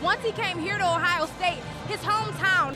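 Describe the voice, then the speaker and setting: A woman's raised, projected voice with very wide pitch swings at a moderate pace, amid noticeable background noise. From Cleveland, Ohio. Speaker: sports reporter. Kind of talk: sports stand-ups and anchoring.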